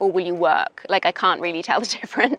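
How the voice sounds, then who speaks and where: In a Welsh accent, the speaker goes at a moderate pace with ordinary pitch variation, recorded dry and close with no echo. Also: woman. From Wales. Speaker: English teacher. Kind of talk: interview. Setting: outdoors in a park. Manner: casual, hesitant with fillers.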